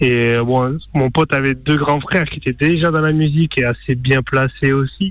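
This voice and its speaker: At a moderate pace, a man with an unremarkable speaking voice talks at a fairly high pitch, with fairly even intonation and very even loudness. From small town in France. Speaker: DJ. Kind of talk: interview.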